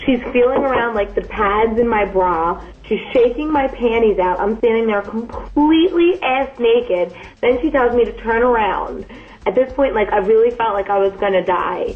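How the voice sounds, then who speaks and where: In an American accent, a woman talks in a normal speaking voice at a fairly high pitch. Her pace is moderate and her pitch variation ordinary. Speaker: new wife on honeymoon, co-speaker. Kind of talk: casual chat. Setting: hotel room in Dubai.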